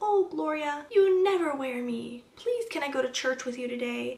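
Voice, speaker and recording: A high-pitched, put-on character voice moves at a moderate pace. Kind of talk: casual vlog chat. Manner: pleading.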